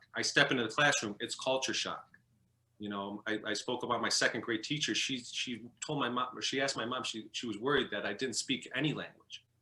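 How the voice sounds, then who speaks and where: In a Chicago accent, the speaker uses a bright, sharp tone with fairly even intonation. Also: man, medium pitch for a man. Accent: Chicago American English. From US Midwest, Chicago. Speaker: former professional hockey goalie. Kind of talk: interview. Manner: halting.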